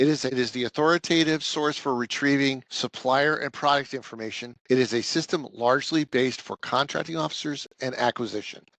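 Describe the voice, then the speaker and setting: A man with an American accent speaks at a medium pitch with ordinary pitch variation. The sound is dry and close with no echo, and the background is quiet. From US Northeast. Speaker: government program manager. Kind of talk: training webinar presentation. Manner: fast.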